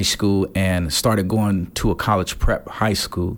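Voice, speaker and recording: A man speaks with an American accent. His pitch is fairly low, in a normal speaking voice. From Gary, Indiana (US Midwest). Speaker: pastor. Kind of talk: interview. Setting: conference venue.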